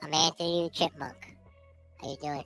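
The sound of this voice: A put-on character voice speaks at a middle pitch in a flat monotone. Faint music plays in the background.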